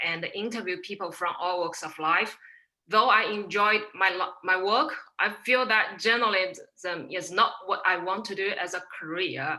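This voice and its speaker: At a moderate pace, a woman with a Chinese accent speaks at a medium pitch with ordinary pitch variation. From China, Shanghai. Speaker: procurement manager. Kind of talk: panel interview.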